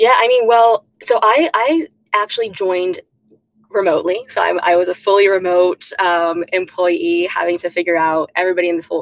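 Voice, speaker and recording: A woman with an American accent and a plain, everyday voice speaks at a medium pitch and moderate pace with ordinary pitch variation, in a dry, close sound with no echo. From South Texas. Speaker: product executive. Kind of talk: interview.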